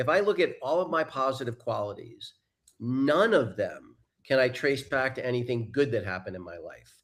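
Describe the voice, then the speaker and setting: A man with an ordinary speaking voice, an American accent, medium pitch, moderate pace, lively intonation and big swings in loudness. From US Northeast, New York suburbs. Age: 60s. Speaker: life coach and mentor. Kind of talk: interview. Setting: live broadcast.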